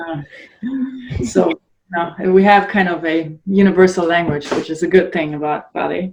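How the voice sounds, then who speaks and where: Speaking at a moderate pace with a German accent, a woman uses fairly even intonation and long, frequent pauses. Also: fairly low pitch for a woman. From northern Germany. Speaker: adult ballet dancer and blogger. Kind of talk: podcast interview. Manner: halting.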